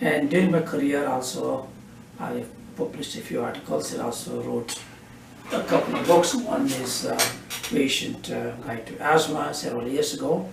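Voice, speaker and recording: A man talks at a moderate pace. The room echo is audible, and there is noticeable background noise. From India, Karnataka. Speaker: physician. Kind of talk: interview. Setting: doctor's office.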